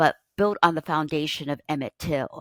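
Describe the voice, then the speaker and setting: In a very clean recording with a silent background and a dry, close sound with no echo, a woman with an American accent speaks at a very deep, low pitch. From US, Pittsburgh. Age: 70s. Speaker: author and educator. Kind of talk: interview conversation. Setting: podcast interview.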